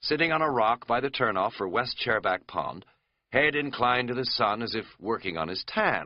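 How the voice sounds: A natural reading voice with lively intonation and a quiet background.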